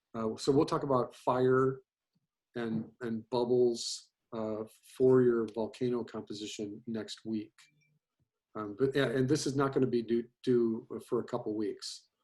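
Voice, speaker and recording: In a normal speaking voice, a man with medium pitch talks at a fairly slow pace with fairly even intonation. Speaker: animation teacher. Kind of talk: lecture. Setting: video call.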